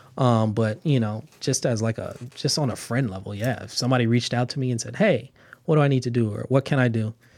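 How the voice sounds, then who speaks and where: A man with a Californian accent talks very fast at a medium pitch, his pitch moving up and down in an ordinary way. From Los Angeles, California. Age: 20s. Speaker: construction manager, architecture alumnus. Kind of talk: interview. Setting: studio.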